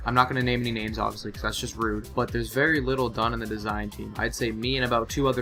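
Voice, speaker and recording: A man speaks very fast over background music. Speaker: gaming clan designer. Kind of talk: gaming commentary. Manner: casual, candid.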